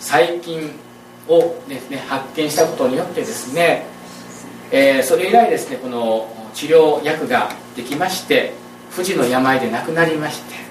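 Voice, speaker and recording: A man with a fairly high pitch talks at a fairly slow pace, his intonation lively and his loudness swinging widely, over noticeable background noise and audible room echo. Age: 40s. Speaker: pastor. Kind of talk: sermon. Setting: church.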